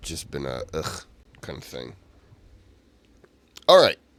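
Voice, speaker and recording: A man's voice with vocal fry at a moderate pace, on a very clean recording with a silent background. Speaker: reaction video host. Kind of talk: casual chat.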